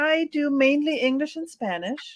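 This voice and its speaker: Spoken at a very slow pace in a German accent, the clip is a very clean recording with a silent background. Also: woman. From Mexico. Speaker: interpreter and translator. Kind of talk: interview.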